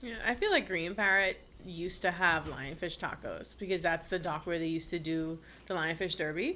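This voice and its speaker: A woman's fairly low, bright, sharp voice with a Bahamian accent, at a moderate pace. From Bahamas. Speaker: marine conservationist and science communicator. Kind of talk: casual interview chat.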